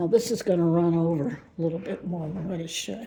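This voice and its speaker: Somewhat breathy woman's voice, dark and mellow in tone, at a moderate pace. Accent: American. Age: 70s. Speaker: thrift vlogger. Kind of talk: casual vlog narration.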